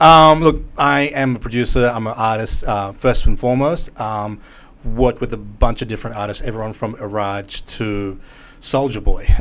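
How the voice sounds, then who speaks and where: Moderate pace from a man with an Australian accent. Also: medium pitch for a man, ordinary pitch variation. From Melbourne, Australia. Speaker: musician and music producer. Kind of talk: casual podcast interview.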